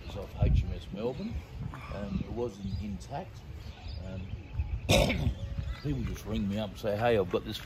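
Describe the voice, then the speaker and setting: A man talks at a moderate pace. Loud background noise runs under his voice. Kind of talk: casual tour chat. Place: street. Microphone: phone near.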